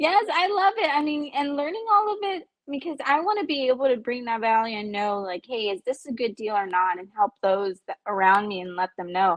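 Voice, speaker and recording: With an American accent, a woman talks at a fairly quick pace. Her intonation is lively. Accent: Texan accent, stronger when excited. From Central Texas. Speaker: stay-at-home mother learning real estate underwriting. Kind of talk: casual interview.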